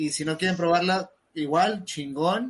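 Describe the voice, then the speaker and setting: A man with a high-pitched voice. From southern Veracruz, Mexico. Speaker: podcast co-host. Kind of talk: casual chat.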